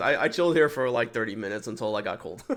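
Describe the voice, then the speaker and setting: Lively intonation runs through this very fast speech, captured in a very clean recording with a silent background. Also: man. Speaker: Twitch streamer. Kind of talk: casual livestream trip recap. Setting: livestream. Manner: halting, many restarts and fillers.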